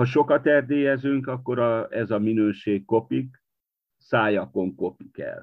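A man speaks at a very slow pace. His voice sits at medium pitch with ordinary pitch variation. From Transylvania, Romania (Partium-born). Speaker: poet and literary editor. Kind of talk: interview conversation. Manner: halting, with fillers.

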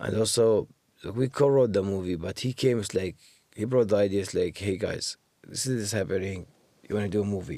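With an Iraqi accent, a man speaks at a fairly quick pace in a fairly low voice with ordinary pitch variation and a dark, mellow tone. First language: Arabic. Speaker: musician and actor. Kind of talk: interview conversation.

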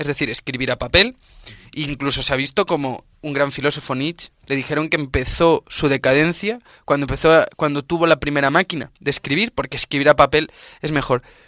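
A man's voice has a bright, sharp tone, recorded very cleanly against a silent background with a dry, close sound and no echo. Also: fairly high pitch for a man, ordinary pitch variation, fairly quick pace. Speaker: student radio host. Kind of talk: radio interview.

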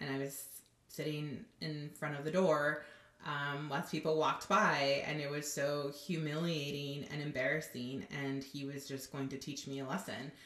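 A woman with an American accent speaks at a moderate pace, her pitch very deep and low with fairly even intonation. Audible room echo surrounds her voice. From Southern California. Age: 30s. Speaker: nonprofit worker. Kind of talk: testimony.

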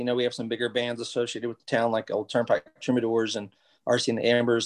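Here a man speaks very fast. His pitch is medium. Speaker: doctor and musician. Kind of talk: casual interview chat.

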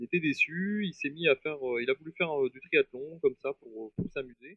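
Ordinary pitch variation and a moderate pace characterize this man's speech. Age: 40s. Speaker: triathlete and paratriathlon guide. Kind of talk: interview.

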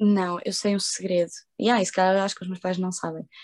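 A woman speaks. Her pitch sits in the middle range. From Portugal. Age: 20s. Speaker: social media content creator. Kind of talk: casual interview. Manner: animated.

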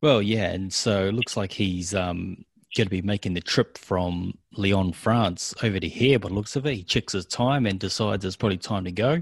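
On a very clean recording with a silent background, a man with a New Zealand accent talks with hardly any pauses and ordinary pitch variation. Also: fairly low pitch for a man, moderate pace. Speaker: wrestling podcast co-host. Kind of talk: casual chat.

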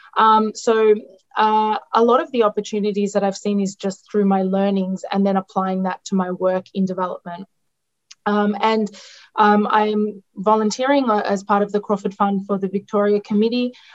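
A woman speaks with an Australian accent at a medium pitch and a moderate pace. Her intonation is monotone and flat, the sound dry and close with no echo. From Australia, outskirts of Melbourne. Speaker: nutritionist in international development. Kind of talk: interview. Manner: halting, many fillers.

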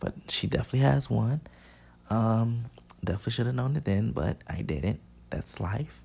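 A man speaks very fast at a medium pitch, somewhat breathy. His tone is dark and mellow. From Chicago. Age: 20s. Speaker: podcast host, college dance student. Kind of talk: casual solo monologue. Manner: casual, many filler words.

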